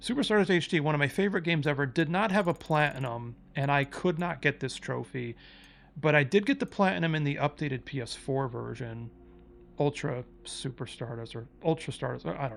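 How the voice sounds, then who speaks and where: On a very clean recording with a silent background, a man with a fairly high pitch talks at a fairly quick pace, using lively intonation and big swings in loudness. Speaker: gaming youtuber. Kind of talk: casual monologue. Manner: fast; casual, with fillers.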